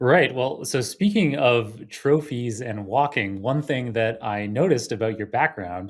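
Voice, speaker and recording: A man with a Canadian accent and a normal speaking voice talks at a medium pitch and a fairly slow pace with hardly any pauses and lively intonation, on a very clean recording with a silent background. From Toronto, Canada. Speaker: podcast host. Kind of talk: interview.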